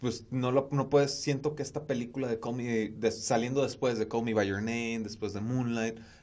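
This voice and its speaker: This is an unremarkable speaking voice, a man's at medium pitch with fairly even intonation. He keeps a moderate pace with hardly any pauses. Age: 20s. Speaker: podcast host, communications student. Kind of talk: casual chat.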